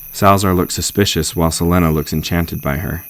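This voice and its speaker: A man talks at a very fast pace with fairly even intonation. His pitch is very deep and low. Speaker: voice actor. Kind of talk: audiobook narration.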